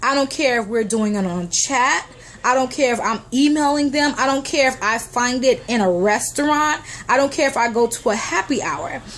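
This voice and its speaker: A woman speaks in a high voice with an animated tone and ordinary pitch variation. Her pace is moderate, and there is noticeable background noise. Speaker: motivational vlogger. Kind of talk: motivational talk to camera.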